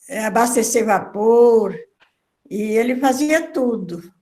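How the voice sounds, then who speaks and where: A woman speaks at a fairly high pitch with fairly even intonation. Room echo is audible around her voice. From northern Minas Gerais, Brazil. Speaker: writer, author. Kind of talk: video call conversation. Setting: video conference.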